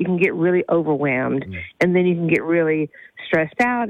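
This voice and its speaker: With ordinary pitch variation, this is an ordinary speaking voice delivered at a fairly quick pace. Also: woman. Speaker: therapist. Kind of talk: advice segment, casual chat.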